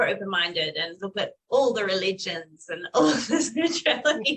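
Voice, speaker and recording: A woman speaks at a moderate pace in a fairly high voice, her pitch swinging very widely. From Perth, Western Australia. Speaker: spiritual channel. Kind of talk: interview.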